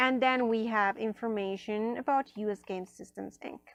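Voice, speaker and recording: A woman with a non-native accent speaks at a fairly slow pace in a fairly high pitch, her pitch varying in an ordinary way, recorded with a dry, close sound and no echo. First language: not English. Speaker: tarot and oracle card reviewer. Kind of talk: unboxing review. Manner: casual, many fillers.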